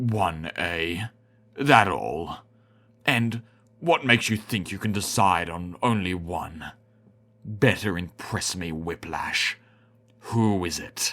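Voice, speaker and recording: A man puts on a character voice with a very deep, low pitch. He speaks at a very slow pace with long, frequent pauses. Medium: read story. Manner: menacing, contemptuous.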